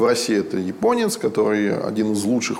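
Both noticeable background noise and audible room echo come through as a man speaks. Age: 30s. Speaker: entrepreneur and fight manager. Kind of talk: casual interview chat.

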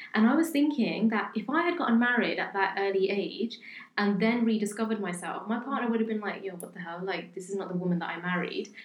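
Over noticeable background noise, a woman speaks at a very fast pace with a medium pitch. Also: lively intonation. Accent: British. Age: 20s. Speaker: podcast co-host. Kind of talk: casual chat.

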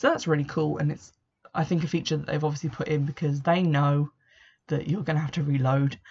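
This woman's voice sits very deep and low in pitch. It comes across somewhat breathy. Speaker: video game podcaster. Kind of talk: solo casual commentary. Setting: home room.

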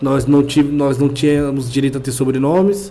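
With music in the background and audible room echo, a man speaks at a fairly high pitch. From Brazil, São Paulo East Zone. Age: 20s. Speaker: podcast co-host. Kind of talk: casual chat.

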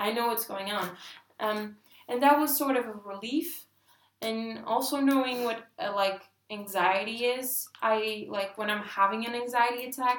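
An unremarkable speaking voice at a fairly slow pace, with ordinary pitch variation. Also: woman, fairly high pitch for a woman. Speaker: podcast co-host. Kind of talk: casual chat.

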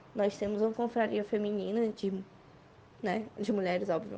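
A woman's dark, mellow tone with monotone, flat intonation. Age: 20s. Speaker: beer sommelier. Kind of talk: voice message testimony.

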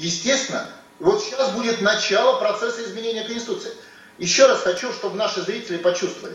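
With noticeable background noise and audible room echo, a man speaks at an extremely high pitch and a fairly quick pace, with ordinary pitch variation. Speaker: politician. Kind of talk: interview. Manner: forceful, rally-like.

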